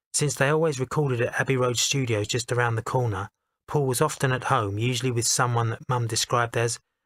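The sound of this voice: Behind the speech, the background is quiet. An unforced reading voice moves with fairly even intonation.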